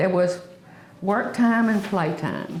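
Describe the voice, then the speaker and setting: A woman with a Southern US accent speaks at a moderate pace and fairly even intonation. Audible room echo and noticeable background noise surround her voice. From US South. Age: 70s. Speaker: oral history interviewee. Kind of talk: oral history reminiscence.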